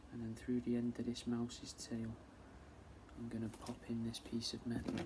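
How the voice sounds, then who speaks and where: A soft-spoken man talks at a moderate pace in a Manchester accent, his intonation monotone and flat. Noticeable background noise runs underneath. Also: medium pitch for a man. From England. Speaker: taxidermist. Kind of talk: ASMR.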